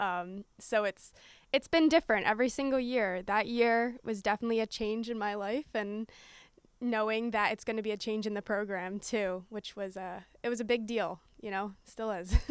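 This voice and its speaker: In a plain, everyday voice, a woman with a fairly high pitch speaks at a moderate pace with fairly even intonation, the sound dry and close with no echo on a very clean recording with a silent background. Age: 20s. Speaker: college field hockey player. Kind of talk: casual interview. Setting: stadium press box.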